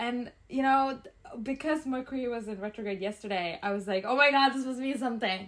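A woman with a high pitch talks at a fairly quick pace, her pitch varying in an ordinary way. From Calgary, Alberta, Canada. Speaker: podcast co-host. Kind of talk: casual chat.

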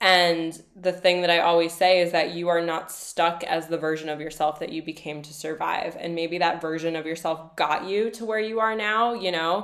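A woman speaks in a normal speaking voice, fairly low in pitch. Her intonation is fairly even, her pace moderate, with hardly any pauses. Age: 30s. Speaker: coach and podcast host. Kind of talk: casual interview.

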